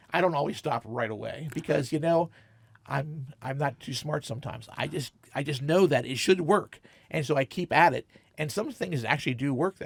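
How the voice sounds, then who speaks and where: Somewhat breathy and fairly high in pitch, a man speaks at a fairly quick pace with ordinary pitch variation. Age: 60s. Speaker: comic shop owner, entrepreneur. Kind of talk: interview. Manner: animated; halting.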